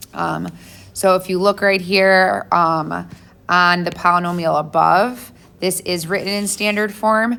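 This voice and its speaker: There's audible room echo as a woman speaks with a bright, sharp tone and vocal fry. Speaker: math teacher. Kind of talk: lecture.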